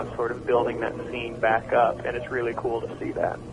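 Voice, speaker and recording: A man with an American accent talks at a fairly quick pace. Noticeable background noise runs underneath. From Oklahoma. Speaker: rock singer. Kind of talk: radio interview. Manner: halting.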